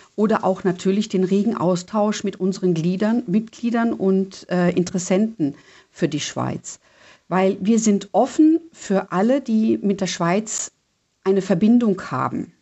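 Ordinary pitch variation comes through in speech delivered at a fairly slow pace. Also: woman, medium pitch for a woman. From Germany. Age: 60s. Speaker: Swiss expat club president. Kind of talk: radio interview. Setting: phone call. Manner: halting, many fillers.

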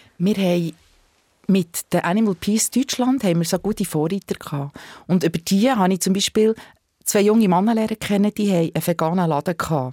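With an unremarkable speaking voice, a woman talks at a fairly quick pace with ordinary pitch variation, recorded very cleanly against a silent background. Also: medium pitch for a woman, dry, close sound with no echo. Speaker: animal rights activist. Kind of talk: interview. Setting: studio.

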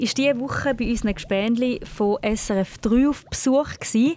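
Speaking with a Thurgau accent, a woman uses a high pitch and lively intonation at a moderate pace. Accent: Thurgau Swiss German dialect. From Switzerland, canton Thurgau. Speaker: children's radio host. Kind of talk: children's radio quiz show. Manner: animated.

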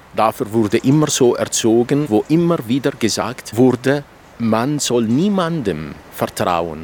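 Someone with an Arabic accent speaks at a very slow pace, with very wide pitch swings and very even loudness. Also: man, medium pitch for a man. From Iraq. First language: Arabic (speaking German). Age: 50s. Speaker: novelist. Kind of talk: interview. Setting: outdoors.

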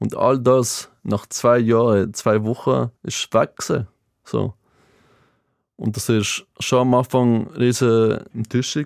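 In a Greek accent, a man talks very slowly at a medium pitch, his intonation fairly even. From Greece, Athens; moved to Basel at 12. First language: Greek (speaking German). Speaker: former water polo player, motivational speaker. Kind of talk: casual interview. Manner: halting after brain hemorrhage speech relearning.

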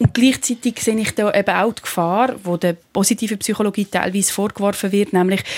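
Recorded with a dry, close sound and no echo, a woman speaks in an unremarkable speaking voice at medium pitch and a moderate pace. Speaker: philosopher and TV presenter. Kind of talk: radio panel discussion.

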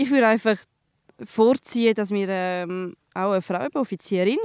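At a moderate pace, a woman speaks in a medium pitch with ordinary pitch variation, the sound dry and close with no echo. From Switzerland, trilingual. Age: 20s. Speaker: soldier. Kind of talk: field interview. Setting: outdoors. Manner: hesitant.

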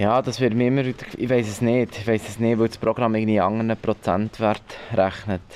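Moving at a fairly quick pace, a man of medium pitch speaks in a monotone with flat intonation. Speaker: radio producer, visually impaired. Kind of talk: interview at the workplace. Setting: newsroom. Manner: hesitant, many fillers.

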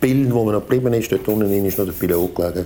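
Fairly low in pitch and fairly even in intonation, the man speaks in a plain, everyday voice. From Switzerland, Zurich area. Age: 60s. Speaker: volunteer firefighter. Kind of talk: interview recollection. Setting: at home, dining table.

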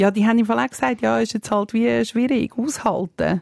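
A woman with a Swiss accent speaks at a fairly quick pace and medium pitch. Her tone is dark and mellow, and the recording is very clean with a silent background. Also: dry, close sound with no echo. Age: 40s. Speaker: mother and public figure. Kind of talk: casual chat.

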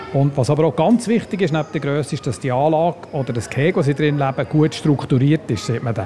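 Amid noticeable background noise, a man with a fairly high pitch talks at a fairly quick pace with hardly any pauses. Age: 60s. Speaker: zoo biologist. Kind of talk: guided zoo tour.

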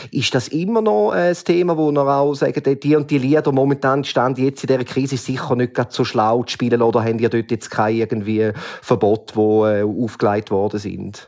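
An ordinary speaking voice moves at a fairly quick pace with hardly any pauses and ordinary pitch variation. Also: man, medium pitch for a man. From Switzerland, canton of St. Gallen. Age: 40s. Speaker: listener asking questions. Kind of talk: casual interview questions.

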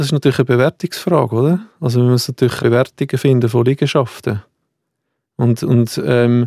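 A man talks at a fairly quick pace with a medium pitch and fairly even intonation. The sound is dry and close, with no echo. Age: 40s. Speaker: heir in an inheritance dispute. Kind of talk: interview testimony. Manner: halting, repeats words.

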